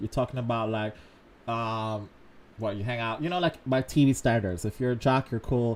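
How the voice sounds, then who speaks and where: Here a man speaks with a Jamaican accent. His pitch is medium, with ordinary variation. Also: moderate pace. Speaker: dating advice streamer. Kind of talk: casual chat.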